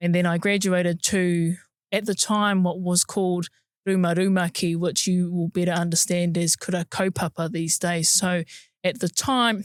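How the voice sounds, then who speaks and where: In a very clean recording with a silent background, a woman with a fairly low pitch speaks at a moderate pace in a monotone, flat intonation, her loudness very even and the sound dry and close with no echo. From New Zealand, Napier, Hawke's Bay. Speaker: museum curator, podcast co-host. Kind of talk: casual chat.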